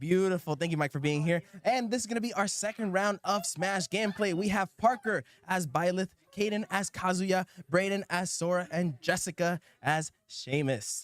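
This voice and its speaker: In a dry, close recording with no echo, a man with a high pitch speaks in an animated tone with ordinary pitch variation. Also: moderate pace. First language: not English. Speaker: esports tournament commentator. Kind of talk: live commentary.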